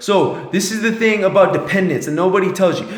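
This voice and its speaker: A man talks with a high pitch. Audible room echo surrounds his voice. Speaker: motivational vlogger. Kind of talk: motivational monologue. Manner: mumbling; animated.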